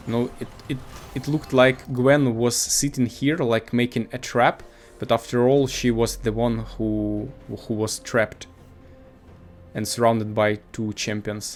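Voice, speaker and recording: Against music in the background, a man with a non-native accent speaks at a fairly slow pace in a medium pitch, with fairly even intonation and long, frequent pauses. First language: not English. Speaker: gaming video commentator. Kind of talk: gameplay commentary. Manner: halting, many fillers.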